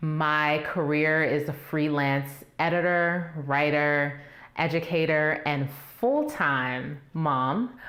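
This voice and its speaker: In a room with audible echo, a woman with an American accent and a very deep, low pitch speaks at a very slow pace with fairly even intonation and very even loudness. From Baltimore, Maryland. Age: 30s. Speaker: debate contestant. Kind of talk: interview.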